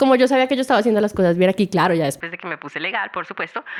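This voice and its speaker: Talking at a very fast pace, a woman sounds animated, with lively intonation. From Venezuela, small town in Trujillo. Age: 20s. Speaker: entrepreneur. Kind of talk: podcast interview.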